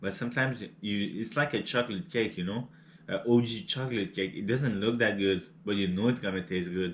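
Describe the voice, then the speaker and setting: Speaking at a fairly quick pace, a man with a non-native accent uses a fairly low pitch with ordinary variation. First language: not English. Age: 30s. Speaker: cooking and mukbang youtuber. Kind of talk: casual vlog chat while eating. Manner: halting, many repeated words and fillers; relaxed and laid-back.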